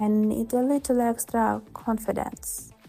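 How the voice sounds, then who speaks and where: Music behind the speaker and fairly even intonation. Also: woman. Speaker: model and lifestyle creator. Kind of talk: ASMR makeup tutorial talk. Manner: soft-spoken, calm.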